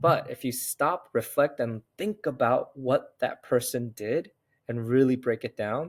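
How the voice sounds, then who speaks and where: A man with an American accent at a medium pitch, ordinary pitch variation, dry, close sound without echo, and a very clean recording over a silent background. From United States, Korean immigrant family. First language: Korean. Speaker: serial entrepreneur and investor. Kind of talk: interview conversation.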